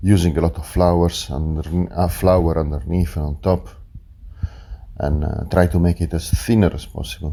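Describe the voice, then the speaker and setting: Over noticeable background noise, a man with an Italian accent speaks in a very deep, low pitch at a moderate pace, his intonation fairly even. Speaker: chef and restaurant owner. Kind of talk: cooking tutorial. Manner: hesitant, many fillers.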